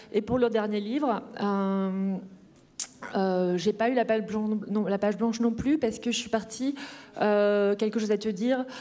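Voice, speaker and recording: A woman speaks at a fairly slow pace in a fairly high voice. Her intonation is fairly even, and her loudness stays very even. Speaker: novelist. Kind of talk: author talk at a panel Q&A. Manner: hesitant, many filler sounds.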